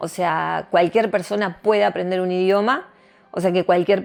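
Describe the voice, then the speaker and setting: The speaker is a woman. Her voice sits at a medium pitch. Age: 60s. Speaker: tarot reader. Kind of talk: interview.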